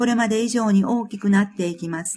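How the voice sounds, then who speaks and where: A woman speaks with a fairly high pitch and a somewhat breathy sound. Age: 50s. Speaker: author reading own book. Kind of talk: reading aloud.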